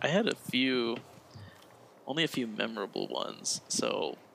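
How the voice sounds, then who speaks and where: The man speaks at a fairly slow pace. Noticeable background noise runs throughout. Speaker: podcast co-host. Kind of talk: casual chat.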